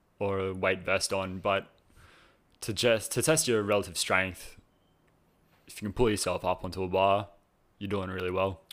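A man with an Australian accent talks at a moderate pace with long, frequent pauses in a very clean recording with a silent background. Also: fairly low pitch for a man, fairly even intonation. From Australia, New South Wales (Cronulla). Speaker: personal trainer, former competitive swimmer. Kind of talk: casual interview chat.

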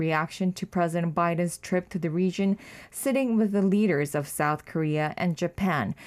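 A woman speaks at a moderate pace in a plain, everyday voice. The recording is very clean, with a silent background. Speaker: news reporter. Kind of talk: news briefing. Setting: studio.

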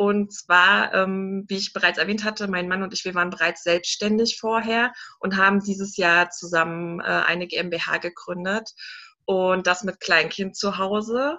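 A woman with an unremarkable speaking voice talks fairly slowly at a medium pitch, her intonation fairly even. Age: 30s. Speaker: entrepreneur and mentor. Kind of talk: interview.

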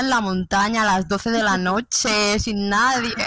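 A woman talks at a moderate pace over noticeable background noise. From Spain. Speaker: nurse. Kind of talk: casual chat.

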